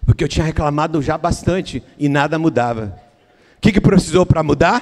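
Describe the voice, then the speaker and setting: With a Brazilian accent, a man speaks at a moderate pace and fairly high pitch, using ordinary pitch variation. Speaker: pastor. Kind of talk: sermon. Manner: halting, repeats words.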